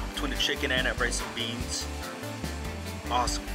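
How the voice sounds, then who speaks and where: Loud music plays in the background. A man is speaking over it. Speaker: food vlogger. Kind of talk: casual food review chat. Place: cafe. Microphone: phone near.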